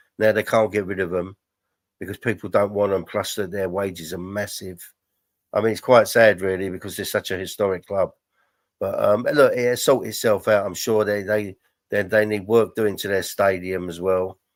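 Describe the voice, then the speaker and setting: In a London accent, a man talks with fairly even intonation. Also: fairly low pitch for a man, moderate pace, very clean recording, silent background. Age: 60s. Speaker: football podcast co-host. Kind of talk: casual chat. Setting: live stream. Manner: halting.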